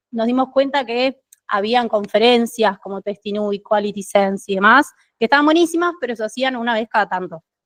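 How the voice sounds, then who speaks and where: A woman with a Uruguayan accent speaks in a fairly high voice with ordinary pitch variation, the sound dry and close with no echo. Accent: Uruguayan Spanish (Rioplatense). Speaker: QA team lead, conference speaker. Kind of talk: tech meetup talk. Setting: stage with live audience. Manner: fast.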